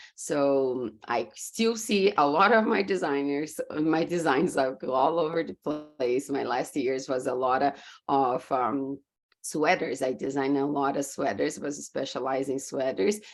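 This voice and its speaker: With a Brazilian Portuguese accent, the speaker moves at a fairly slow pace with lively intonation. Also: woman, very deep, low pitch for a woman. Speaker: business coach. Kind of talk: podcast interview.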